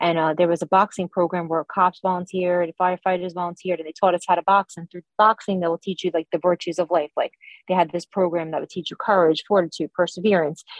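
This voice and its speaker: Very fast and monotone, a woman with an American accent delivers flat intonation at a fairly low pitch. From New York, Long Island. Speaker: political candidate. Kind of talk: interview.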